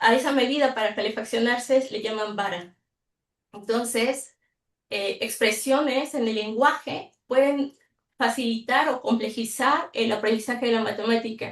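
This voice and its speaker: A woman speaks at a fairly slow pace and a fairly high pitch, with fairly even intonation. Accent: Mexican. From Mexico. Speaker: mathematics teacher educator. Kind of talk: online workshop presentation.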